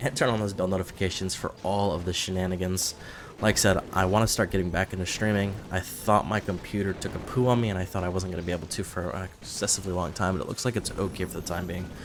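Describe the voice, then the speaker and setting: Over noticeable background noise, a man with a very deep, low pitch speaks at a very fast pace with fairly even intonation and hardly any pauses. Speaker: gaming YouTuber. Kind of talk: casual gameplay commentary. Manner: rambling with fillers.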